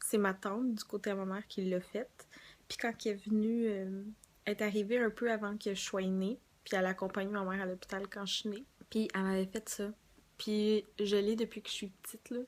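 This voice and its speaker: In a Quebec accent, a woman speaks at medium pitch and a moderate pace with monotone, flat intonation, on a very clean recording with a silent background. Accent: Québécois French. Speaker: beauty vlogger. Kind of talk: casual vlog.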